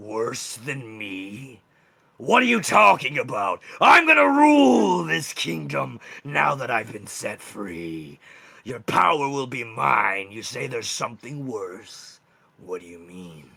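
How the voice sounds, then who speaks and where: At a fairly slow pace, this man performs a put-on character voice. It sounds raspy and sits at a medium pitch. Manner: shaken, confused, defiant.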